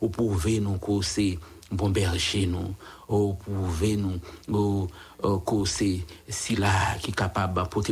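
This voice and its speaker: A man with a Haitian accent speaks at a very slow pace in a very deep, low pitch. His intonation is flat and monotone, and his voice is somewhat breathy. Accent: Haitian Creole-accented French. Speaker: radio prayer host. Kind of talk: radio prayer and devotional talk. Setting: radio studio. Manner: halting.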